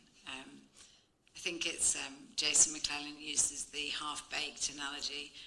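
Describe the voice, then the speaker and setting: The voice has a bright, sharp tone and flat, monotone intonation, moving at a moderate pace with big swings in loudness and audible room echo. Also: woman, very deep, low pitch for a woman. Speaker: architect, panelist. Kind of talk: panel discussion.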